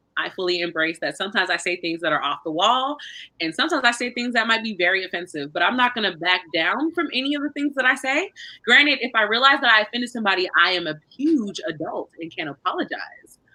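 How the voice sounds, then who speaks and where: Loud and very fast, a woman speaks at a fairly high pitch with very wide pitch swings. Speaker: book club co-host. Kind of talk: casual chat.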